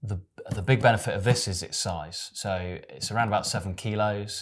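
Speaking fairly slowly, a man holds his intonation fairly even. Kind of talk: product explanation chat. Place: studio.

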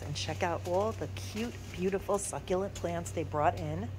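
The pace is moderate, over light background noise. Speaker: shopping vlogger. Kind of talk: casual vlog chat. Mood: enthusiastic, admiring. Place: shop. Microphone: phone near.

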